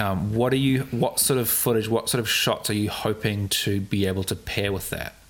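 Music sits in the background while a man talks with hardly any pauses. His pitch is fairly low and his intonation fairly even. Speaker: podcast host and wedding videographer. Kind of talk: casual interview. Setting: studio, on camera. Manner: fast.

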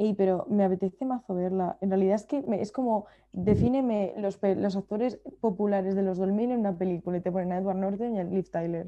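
Her tone dark and mellow, a woman talks at a fairly quick pace with fairly even intonation. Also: medium pitch for a woman. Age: 20s. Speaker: podcast co-host. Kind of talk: casual chat.

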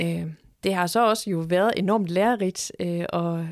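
A woman's medium-pitched voice, ordinary pitch variation, a dry, close sound with no echo, and a very clean recording with a silent background. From Denmark, Horsens (East Jutland). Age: 50s. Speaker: museum director. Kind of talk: interview. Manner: hesitant, many fillers.

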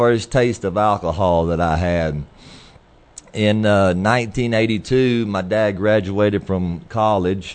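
This is a man's voice with an American accent. His pitch is fairly low. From US Midwest, Iowa. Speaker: former addict sharing testimony. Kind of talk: testimony.

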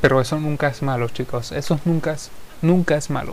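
A man's fairly high-pitched, a plain, everyday voice, fairly even in intonation and at a fairly quick pace. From Venezuela. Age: 20s. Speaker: podcaster and musician. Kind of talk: solo podcast monologue.

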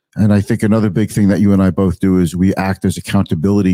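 A man's fairly low, dark and mellow voice, very cleanly recorded against a silent background, dry and close with no echo. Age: 50s. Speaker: financial advisor and radio host. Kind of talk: casual interview on radio.

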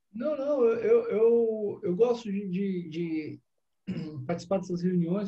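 A man speaks very slowly in a high pitch. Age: 40s. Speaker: author. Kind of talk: casual chat.

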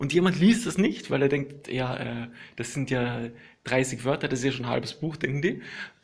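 With vocal fry, a man speaks at medium pitch and a moderate pace, his pitch varying in an ordinary way. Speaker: podcaster. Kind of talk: casual monologue. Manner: halting, many fillers; relaxed.

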